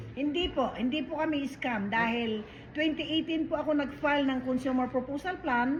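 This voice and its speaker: A woman's high-pitched voice, with ordinary pitch variation and a moderate pace. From Philippines. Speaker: debt consumer proposal agent. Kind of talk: casual chat. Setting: restaurant.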